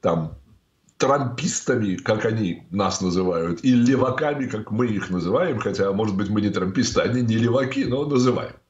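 Against a quiet background with audible room echo, a man speaks in a somewhat breathy voice. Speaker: interview guest. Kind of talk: interview answer. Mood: calm, opinionated. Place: home room. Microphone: video call.

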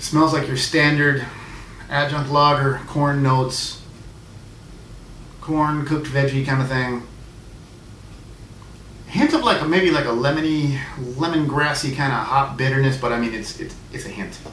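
A man at a moderate pace with long, frequent pauses, light background noise and audible room echo. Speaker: beer reviewer. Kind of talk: casual vlog review. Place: home room. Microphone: camera far.

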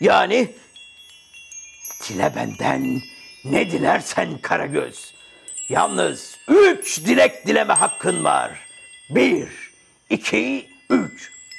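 A raspy put-on character voice, very slow, with long, frequent pauses. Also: man. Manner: amused, teasing, then firm.

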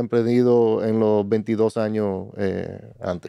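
This man's voice has a dark, mellow tone at a medium pitch. The sound is dry with no echo, and the background is quiet. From Dominican Republic. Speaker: logistics business executive; podcast guest. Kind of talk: interview. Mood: calm, reflective storytelling. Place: studio. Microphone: studio mic.

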